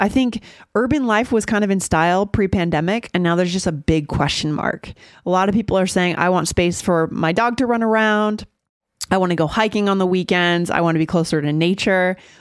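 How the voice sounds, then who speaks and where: A woman with a medium pitch has an ordinary speaking voice. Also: ordinary pitch variation, fairly quick pace, very even loudness, very clean recording, silent background. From USA. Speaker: English-learning podcast host. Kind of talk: casual chat.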